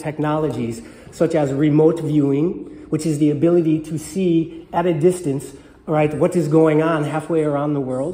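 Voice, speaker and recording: Audible room echo around a man talking at a moderate speed. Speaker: conference presenter. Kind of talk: lecture. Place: hall. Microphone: podium.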